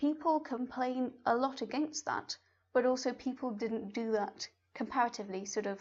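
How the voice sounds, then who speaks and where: A somewhat breathy woman's voice at a moderate pace over a quiet background. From Spain. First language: Spanish. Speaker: science YouTuber and doctoral student. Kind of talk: podcast interview.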